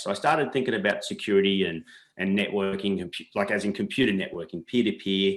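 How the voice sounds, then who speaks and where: Speaking at a very fast pace, this is a man. He has an Australian accent. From Australia, New South Wales. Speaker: entrepreneur. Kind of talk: interview.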